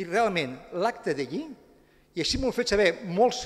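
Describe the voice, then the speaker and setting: A man with a high-pitched voice speaks at a moderate pace with lively intonation against a quiet background. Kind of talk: press statement. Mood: critical, indignant. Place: hall. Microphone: podium.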